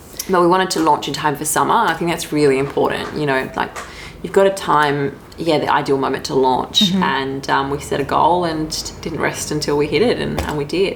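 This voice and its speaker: Over noticeable background noise, the speaker keeps a calm tone at a fairly quick pace, with ordinary pitch variation. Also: woman, very deep, low pitch for a woman. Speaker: entrepreneur, CEO. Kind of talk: interview answer. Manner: soft-spoken.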